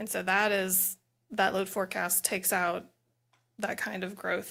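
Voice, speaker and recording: The voice is soft-spoken with a bright, sharp tone and vocal fry, in a monotone, flat intonation. It moves at a moderate pace on a very clean recording with a silent background. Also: woman. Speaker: utility expert witness. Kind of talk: hearing testimony.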